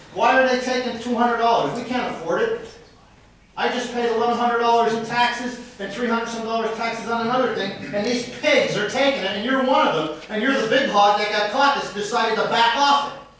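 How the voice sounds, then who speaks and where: With an American accent, a man with an extremely high pitch speaks loudly at a fairly quick pace and with fairly even intonation, amid noticeable background noise and audible room echo. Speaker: citizen speaking at council meeting. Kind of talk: public comment at council meeting. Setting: city council meeting.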